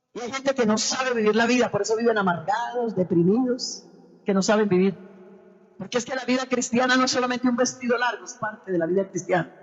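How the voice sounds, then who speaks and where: Over noticeable background noise, a woman talks at a very fast pace. Her pitch is fairly high, with ordinary pitch variation. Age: 60s. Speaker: preacher. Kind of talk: sermon.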